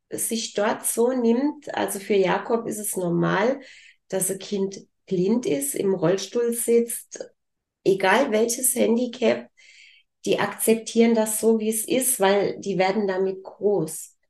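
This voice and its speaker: A woman talks at a very slow pace in a dark, mellow tone, her fairly high pitch carried by lively intonation. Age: 50s. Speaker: business owner. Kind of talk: interview. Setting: studio.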